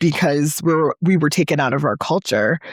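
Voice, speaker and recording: The recording is dry and close, without echo. A woman talks with an American accent. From New Orleans, Louisiana, then Connecticut. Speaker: licensed clinical social worker, podcast co-host. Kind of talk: personal documentary reflection. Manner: conversational with hesitations.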